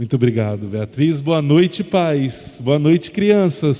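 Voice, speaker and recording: A dark, mellow tone at a fairly slow pace. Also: man. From interior of São Paulo state, Brazil. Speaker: educational consultant. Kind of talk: lecture. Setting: presentation to parents and children at a school.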